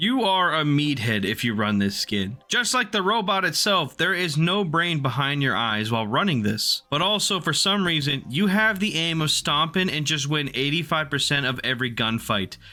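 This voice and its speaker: A man talks in a fairly high, bright, sharp voice with very wide pitch swings. His loudness stays very even, and he hardly pauses at all. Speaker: gaming YouTuber. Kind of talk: comedic commentary video. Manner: fast; animated.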